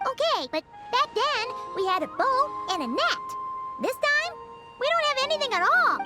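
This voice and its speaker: Loud music plays behind a put-on character voice pitched extremely high, swinging very widely in pitch. It moves at a moderate pace with long, frequent pauses. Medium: video game. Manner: quick, sardonic.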